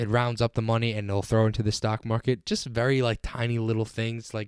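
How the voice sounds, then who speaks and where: A man with an unremarkable speaking voice at medium pitch and a fairly quick pace, recorded very cleanly against a silent background with a dry, close sound and no echo. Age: 20s. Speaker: podcast host and accountant. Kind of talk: casual solo podcast talk. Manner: informal, filler-heavy.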